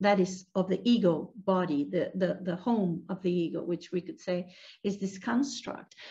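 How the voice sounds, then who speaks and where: Over a quiet background, a woman speaks at a moderate pace with a dark, mellow tone, somewhat breathy delivery, and ordinary pitch variation. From Venezuela. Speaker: meditation teacher. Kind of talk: guided meditation. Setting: video call. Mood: calm, gentle. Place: home room. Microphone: video call.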